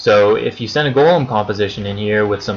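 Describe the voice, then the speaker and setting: A fairly low-pitched man at a fairly quick pace over noticeable background noise. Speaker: gaming strategy video maker. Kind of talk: tutorial. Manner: monotone; hesitant, many fillers.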